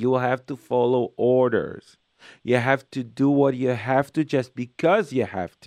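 An Israeli accent in a warm, enthusiastic tone at a fairly slow pace, with big swings in loudness, ordinary pitch variation, a dry, close sound with no echo and a quiet background. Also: man, medium pitch for a man. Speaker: radio host and parenting lecturer. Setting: phone call with listener, on visit in New York. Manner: warm, chatty, enthusiastic, with hesitant non-native phrasing.

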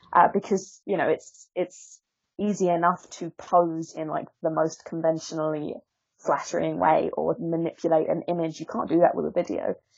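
A woman speaks with an Essex accent. Her pace is moderate. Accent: southern English (Essex). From Essex, England. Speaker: author and body-positivity influencer. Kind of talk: interview conversation. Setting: Skype call. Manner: articulate.

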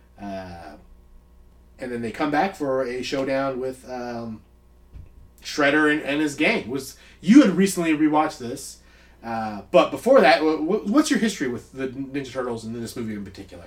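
In a normal speaking voice, the speaker uses lively intonation with big swings in loudness. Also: man, medium pitch for a man, moderate pace. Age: 30s. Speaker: movie podcast co-host. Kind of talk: casual chat.

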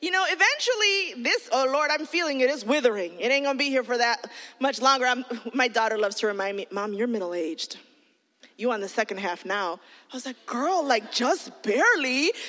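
A woman with a high pitch speaks at a fairly quick pace in a bright, sharp, animated tone, her pitch swinging very widely. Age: 40s. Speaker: children's pastor. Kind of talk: sermon.

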